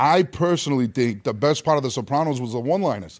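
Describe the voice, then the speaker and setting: The man's voice is pitched fairly high. Its pitch moves in an ordinary way. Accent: strong Rhode Island. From Rhode Island, US. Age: 40s. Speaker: actor. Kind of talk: casual chat.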